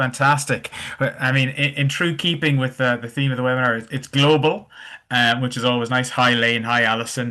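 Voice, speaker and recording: In an Irish accent, a man talks at a fairly quick pace with a bright, sharp tone, medium pitch and fairly even intonation against a quiet background. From Ireland. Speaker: webinar host. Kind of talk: webinar interview.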